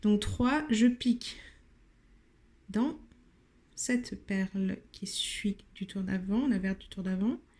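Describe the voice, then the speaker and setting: Speaking at a very slow pace with long, frequent pauses, a woman has a fairly high, somewhat breathy voice with ordinary pitch variation and big swings in loudness. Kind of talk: tutorial.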